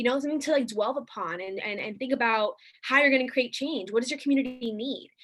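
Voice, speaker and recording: Very fast and high-pitched, a woman speaks with ordinary pitch variation. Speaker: youth activist workshop leader. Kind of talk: online workshop presentation.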